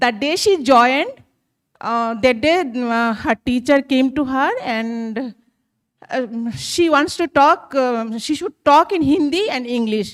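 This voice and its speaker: Speaking very slowly, a woman with a Bengali accent uses a high-pitched voice. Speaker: teacher sharing an anecdote. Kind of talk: audience comment in a workshop. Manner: halting, many fillers.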